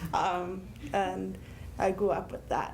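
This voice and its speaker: A woman with an American accent amid audible room echo. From Connecticut. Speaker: deaf panelist and teacher. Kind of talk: panel talk, personal account.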